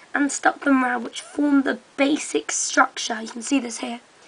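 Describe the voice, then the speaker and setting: A woman speaks at a high pitch with ordinary pitch variation. Noticeable background noise can be heard. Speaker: hobbyist video maker. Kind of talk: tutorial. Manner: hesitant, many ums.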